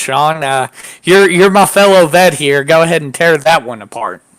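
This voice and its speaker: A man with an American accent speaks at a fairly slow pace and a fairly high pitch in an ordinary speaking voice. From United States. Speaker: podcast co-host and military veteran. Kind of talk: casual political chat.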